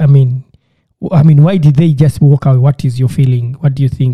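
A man with a fairly high pitch and a dark, mellow, somewhat breathy tone speaks at a moderate pace with fairly even intonation, in a dry, close sound with no echo. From Uganda, rural village. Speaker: podcast host. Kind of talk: casual chat.

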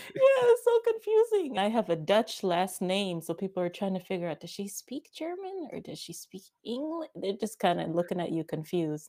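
Hardly pausing, a woman talks at a moderate pace with big swings in loudness. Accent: American. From Washington, D.C. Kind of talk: casual interview chat.

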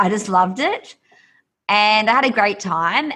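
An Australian accent marks this woman's voice. Her tone is animated and enthusiastic. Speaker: yoga instructor and author. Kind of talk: casual podcast interview. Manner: animated, enthusiastic.

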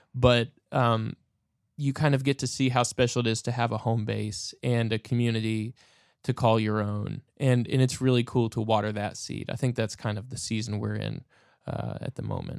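A man's medium-pitched, flat monotone at a moderate pace, dry and close with no echo, in a very clean recording with a silent background. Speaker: audio producer and musician. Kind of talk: casual interview.

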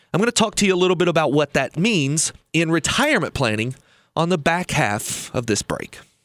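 A man's fairly high voice with vocal fry, very wide pitch swings, very even loudness and a fairly quick pace, in a dry, close sound with no echo. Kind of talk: radio show, storytelling with advice. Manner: animated, narrating a tense flying story, building suspense; conversational, explaining with repetition for emphasis.

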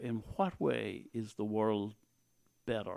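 A man with an Irish accent speaks at a fairly low pitch in a dark, mellow tone. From Ireland, County Tipperary. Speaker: former priest and local politician. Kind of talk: interview.

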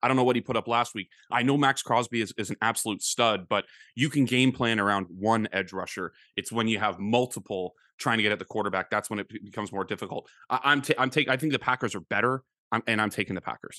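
Speaking very fast with a Canadian accent, a man at medium pitch with ordinary pitch variation has a bright, sharp tone in a dry, close recording with no echo and a quiet background. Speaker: sports podcast host. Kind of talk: casual chat. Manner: heated.

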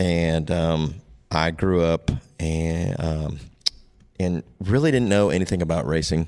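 A man with an American accent speaks in a very deep, low voice with ordinary pitch variation, recorded very cleanly against a silent background. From US Midwest, northeast Iowa (Waterloo). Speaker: NASCAR crew member. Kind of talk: casual interview chat.

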